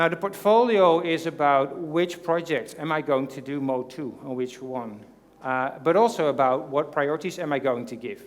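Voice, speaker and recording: This man's pitch is fairly high, with ordinary variation, and he speaks at a moderate pace. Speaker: conference speaker. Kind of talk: conference presentation. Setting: stage with audience. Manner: hesitant, many fillers.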